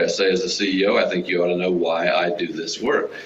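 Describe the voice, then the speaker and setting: An American-accented man talks very fast amid noticeable background noise and audible room echo. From Texas. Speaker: nonprofit executive. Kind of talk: Q&A at a club meeting. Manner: casual.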